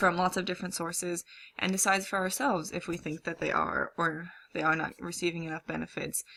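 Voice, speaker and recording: A woman's fairly low voice carries vocal fry and a bright, sharp tone. The recording is very clean with a silent background. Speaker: college student. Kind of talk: class presentation. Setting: recorded at a computer. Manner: hesitant, many fillers.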